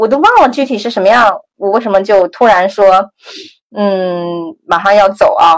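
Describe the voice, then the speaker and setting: Speaking at a moderate pace, a woman with a medium pitch uses an ordinary speaking voice. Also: ordinary pitch variation. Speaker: graduate student and former tech worker. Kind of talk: interview conversation. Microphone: some noise and echo.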